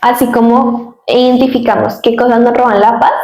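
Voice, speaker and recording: The woman's fairly high voice carries audible room echo. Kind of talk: casual chat. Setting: studio. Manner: fast.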